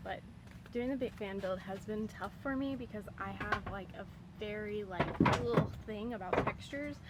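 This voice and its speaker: Through audible room echo and noticeable background noise, a woman at medium pitch speaks at a moderate pace with ordinary pitch variation. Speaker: van life vlogger. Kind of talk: casual DIY vlog tutorial.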